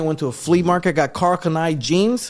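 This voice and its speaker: A man is speaking. He has a Puerto Rican accent. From Puerto Rico. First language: Spanish. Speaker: podcast host. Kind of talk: casual chat.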